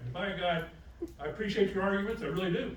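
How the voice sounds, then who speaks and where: Recorded with audible room echo and noticeable background noise, a man speaks at a fairly quick pace. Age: 70s. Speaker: city councilman, retired army colonel. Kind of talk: public meeting statement. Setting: city council meeting. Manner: animated.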